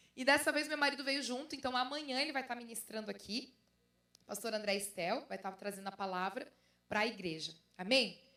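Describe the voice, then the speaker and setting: Talking fairly quickly in a southern Brazilian accent, a woman has a fairly high pitch, a bright, sharp tone and lively intonation. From southern Brazil, Santa Catarina (Brusque). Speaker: pastor and author. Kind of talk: conference talk.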